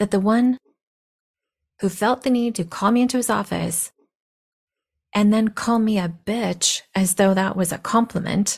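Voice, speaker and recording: Speaking at a fairly slow pace with long, frequent pauses, a woman with a medium pitch and somewhat breathy voice keeps very even loudness and fairly even intonation on a very clean recording with a silent background. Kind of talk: personal monologue.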